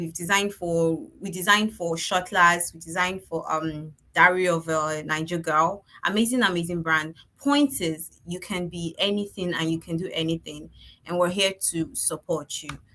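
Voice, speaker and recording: A normal speaking voice at a moderate pace with fairly even intonation. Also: woman. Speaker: online course organizer. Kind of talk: orientation presentation.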